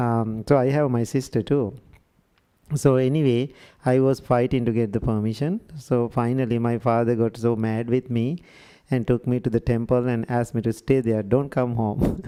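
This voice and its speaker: In a Sri Lankan accent, a man speaks with a dark, mellow tone and fairly even intonation. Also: medium pitch for a man, moderate pace. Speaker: Buddhist monk. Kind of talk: workshop talk.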